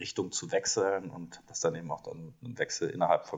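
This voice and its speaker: A man is speaking. His pace is moderate. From Rhineland, Germany. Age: 40s. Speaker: management consultant. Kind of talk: interview.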